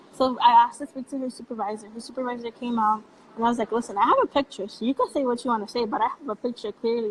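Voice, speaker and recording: Spoken at a very fast pace with ordinary pitch variation, this voice comes through over noticeable background noise. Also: woman. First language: Spanish. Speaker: youth activist. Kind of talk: casual chat.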